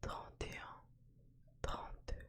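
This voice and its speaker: Whispering, a woman speaks in a calm tone. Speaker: ASMR content creator. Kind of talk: ASMR poetry reading and counting to help sleep. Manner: whispered, calm, slow.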